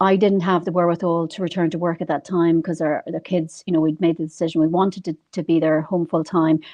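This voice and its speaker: A woman with an Irish accent, very fast delivery, fairly low pitch and monotone, flat intonation. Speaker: financial advisor. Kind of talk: interview.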